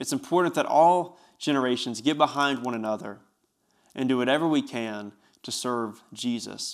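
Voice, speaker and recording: Speaking with an Appalachian accent, a man has a medium pitch and ordinary pitch variation. He talks at a moderate pace in a very clean recording with a silent background. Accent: Southern US (Appalachian). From East Tennessee (Bristol). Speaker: youth pastor, podcast host. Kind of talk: solo podcast monologue. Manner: animated.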